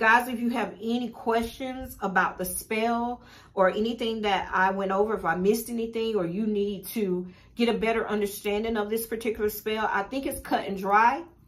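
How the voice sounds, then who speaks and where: An ordinary speaking voice goes at a moderate pace with fairly even intonation. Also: woman, fairly high pitch for a woman. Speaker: spiritual teacher and shop owner. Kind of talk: tutorial.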